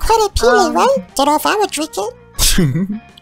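The voice is high and moves at a moderate pace. Faint music sits in the background. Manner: casual, breezy.

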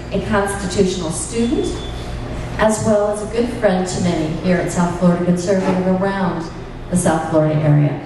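Amid noticeable background noise and strong room echo, a woman speaks at a moderate pace with ordinary pitch variation. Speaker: meeting host. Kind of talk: speaker introduction. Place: hall.

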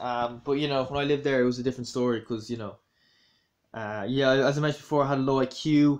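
A man with a Dublin accent talks at a very fast pace with fairly even intonation. The background is quiet. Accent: Dublin Irish. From Ireland, Dublin. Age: 20s. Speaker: YouTuber. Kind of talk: casual vlog commentary. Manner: hesitant, many fillers. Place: home room. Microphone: phone near.

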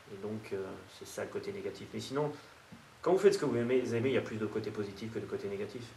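A man talks very fast, with audible room echo and light background noise. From France. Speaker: nutrition expert. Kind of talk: interview monologue. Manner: hesitant with repetitions. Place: meeting room.

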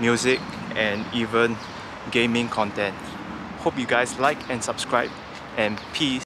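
Amid noticeable background noise, a man speaks at a fairly slow pace, the sound dry with no echo. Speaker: vlogger. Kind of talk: casual vlog chat. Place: waterside. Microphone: phone near.

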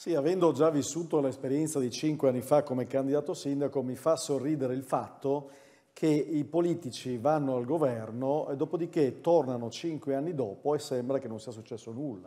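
A man's dark, mellow, fairly high voice at a fairly quick pace, with ordinary pitch variation and big swings in loudness. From Udine, Friuli; Friuli. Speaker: mayoral candidate; candidate. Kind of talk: political debate. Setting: stage with audience. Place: hall. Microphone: lapel.

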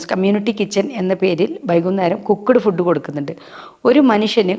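A woman talks in a medium pitch with lively intonation. She has an unremarkable speaking voice. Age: 50s. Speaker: social worker. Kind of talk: interview.

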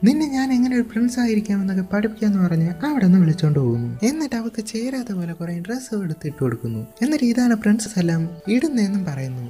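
Music in the background behind a woman at medium pitch with very wide pitch swings. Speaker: movie explainer. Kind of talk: movie plot narration.

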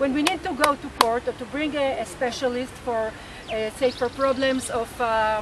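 A woman speaks in a high pitch with an Israeli accent at a fairly slow pace. The sound is dry with no echo, though noticeable background noise is present. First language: Hebrew. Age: 60s. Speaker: rebirthing teacher and activist; rebirthing teacher. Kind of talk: interview. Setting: outdoors. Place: garden.

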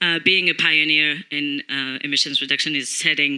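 Against a quiet background, a woman speaks at a very deep, low pitch in a bright, sharp tone. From France. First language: French. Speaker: corporate communications executive. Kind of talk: panel discussion. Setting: stage with audience. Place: stage. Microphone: handheld.

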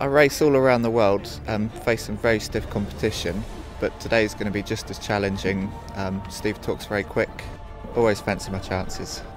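A man's fairly low voice with ordinary pitch variation at a moderate pace, a dry sound with no echo, and clear music in the background. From Britain. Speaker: Olympic sprint kayaker. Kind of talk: interview answer. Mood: relaxed, lightly humorous.

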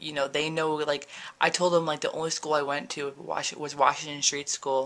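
A woman talks at a moderate pace with an American accent. Her pitch is very deep and low. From New Jersey. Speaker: vlogger. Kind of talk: casual vlog. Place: home room. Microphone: phone near.

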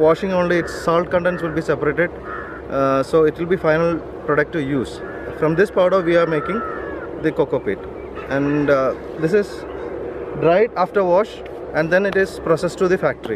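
Against noticeable background noise in a dry sound with no echo, a man with a high pitch and ordinary pitch variation speaks at a fairly quick pace. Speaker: business owner guide. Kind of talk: casual explanatory tour talk. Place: open country.

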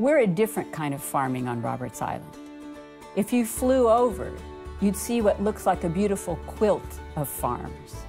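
Over clear background music, a woman talks at a moderate pace. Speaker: farmer. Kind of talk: interview answer. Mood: proud, calm. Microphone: lapel.

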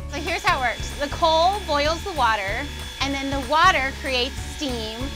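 There is clear music in the background. A woman speaks over it at a fairly slow pace. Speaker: travel video host. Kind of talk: casual vlog chat. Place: train. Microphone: phone near.

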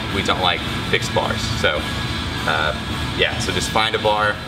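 Loud music plays in the background while a man talks at a moderate pace. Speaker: fitness coach. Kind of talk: tutorial. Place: gym.

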